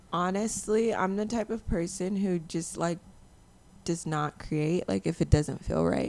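With a plain, everyday voice, a woman talks at a fairly slow pace, her fairly low pitch showing ordinary pitch variation. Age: 20s. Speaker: music producer. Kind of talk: casual chat. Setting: home studio.

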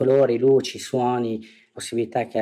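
Over a silent background in a very clean recording, a man talks in a dark, mellow tone with monotone, flat intonation. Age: 40s. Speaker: business owner, recovering gambler. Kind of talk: testimony.

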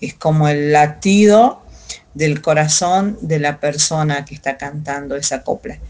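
A woman talks very slowly in a very deep, low voice whose pitch varies in an ordinary way. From Salta, northern Argentina. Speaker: folk singer. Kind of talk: interview. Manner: halting, many fillers.

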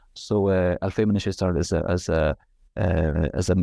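Against a quiet background, a man talks at a moderate pace in a very deep, low voice with a dark, mellow tone and vocal fry. His intonation is lively. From Israel, Galilee. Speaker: architectural historian, author. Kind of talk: interview. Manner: halting, many fillers.

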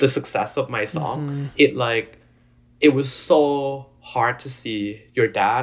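A man with a Thai accent, medium-pitched and somewhat breathy, on a very clean recording with a silent background. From Thailand. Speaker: EDM DJ and music producer. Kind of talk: casual interview chat. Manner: halting, many fillers.

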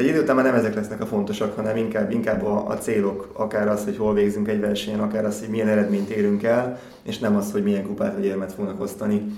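A man talks extremely quickly in a fairly level tone while clear background noise plays. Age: 40s. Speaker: athlete. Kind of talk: interview.

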